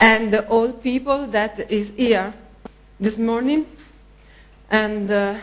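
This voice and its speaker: A woman speaks at a fairly high pitch with a non-native accent and fairly even intonation. Her speech has long, frequent pauses. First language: not English. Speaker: local conference organiser. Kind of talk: thank-you speech. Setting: conference hall with audience. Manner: halting.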